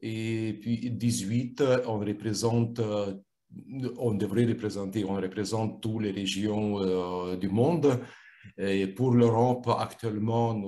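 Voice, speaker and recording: Speaking very slowly with a non-native accent, a man has a fairly low pitch. His tone is dark and mellow. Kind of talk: interview. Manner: halting, many repetitions and fillers.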